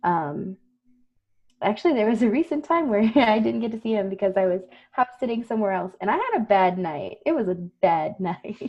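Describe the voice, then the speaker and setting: In an American accent, a woman talks at a moderate pace and medium pitch with lively intonation, in a plain, everyday voice. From South Texas, US. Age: 20s. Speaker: counselor, podcast co-host. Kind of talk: casual chat.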